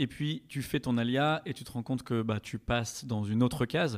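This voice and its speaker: A man speaks with a plain, everyday voice at a medium pitch and a fairly slow pace. His intonation is fairly even, and the recording is very clean with a silent background. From France, Strasbourg (Alsace). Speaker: podcast guest. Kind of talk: casual chat.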